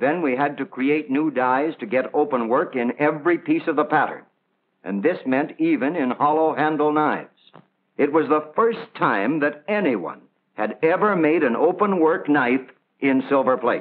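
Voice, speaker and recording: A man with a fairly high pitch talks at a moderate pace. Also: ordinary pitch variation. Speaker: company production executive explaining manufacturing. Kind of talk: vintage promotional film, explanatory spiel. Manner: proud, earnest, measured explanatory tone. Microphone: old recording.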